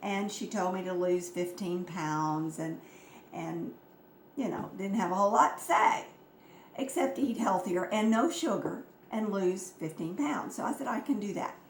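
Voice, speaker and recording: A woman's medium-pitched voice at a moderate pace with lively intonation, with audible room echo and noticeable background noise. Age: 70s. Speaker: health products distributor. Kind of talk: informal health talk.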